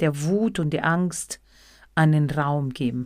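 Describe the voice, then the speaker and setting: With a Spanish accent and a very deep, low pitch, a woman talks very slowly in a very clean recording with a silent background. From Argentina. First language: Spanish (speaking German). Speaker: psychotherapy practitioner and podcaster. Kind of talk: reflective monologue.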